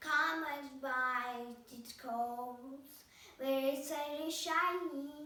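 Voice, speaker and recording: A woman's high-pitched put-on character voice at a very slow pace, with slight echo. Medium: read story. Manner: scheming, spiteful.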